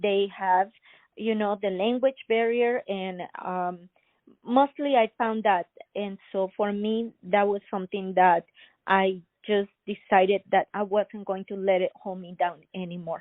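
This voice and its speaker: Speaking with a Spanish accent, a woman at medium pitch keeps a fairly slow pace and fairly even intonation. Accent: Spanish-accented English, non-native. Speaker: inventor and entrepreneur. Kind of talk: interview. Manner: halting, many fillers.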